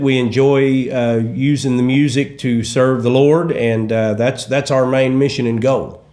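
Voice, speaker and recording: With a Southern accent, the speaker talks at a moderate pace with hardly any pauses, and room echo is audible. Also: man. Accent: Southern, like Kentucky. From east central Oklahoma. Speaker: gospel musician. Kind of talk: interview. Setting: studio.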